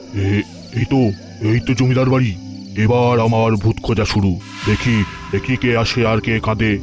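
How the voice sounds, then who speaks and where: A man performs a cartoonish character voice at medium pitch and moderate pace while clear music plays in the background. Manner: stammering when scared.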